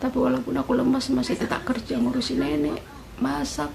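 Against noticeable background noise, the speaker goes at a fairly quick pace. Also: woman. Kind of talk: casual vlog chat. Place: home room. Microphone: phone near.

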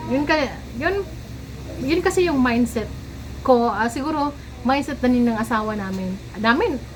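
A high-pitched woman with lively intonation, a moderate pace and long, frequent pauses, amid noticeable background noise. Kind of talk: casual vlog monologue.

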